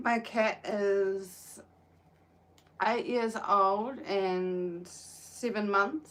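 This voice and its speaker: This woman speaks with a New Zealand accent at a fairly high pitch. Her pitch variation is ordinary. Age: 20s. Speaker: livestreamer crocheting, caregiver. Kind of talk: casual live stream chat. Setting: outdoors in the sun.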